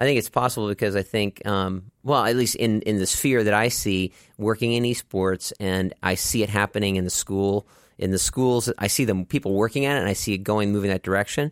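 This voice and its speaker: This man has an unremarkable speaking voice with an American accent and a fairly low pitch. The sound is dry and close with no echo, his loudness very even and his pitch variation ordinary. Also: fairly quick pace. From Texas, Dallas. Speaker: inclusive soccer program co-founder. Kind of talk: casual chat.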